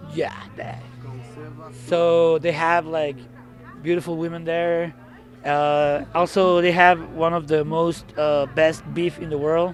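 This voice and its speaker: Over music in the background, a man with a Mexican accent talks at a very slow pace in a high, monotone, flat voice, leaving long, frequent pauses. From Mexicali, Baja California, Mexico. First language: Spanish. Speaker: experimental noise musician. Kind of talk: casual interview. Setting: outdoors after a show.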